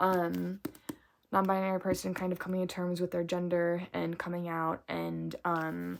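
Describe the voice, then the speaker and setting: On a very clean recording with a silent background, a woman mumbles at a moderate pace and a medium pitch. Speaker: book vlogger. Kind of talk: casual book review vlog. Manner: mumbling.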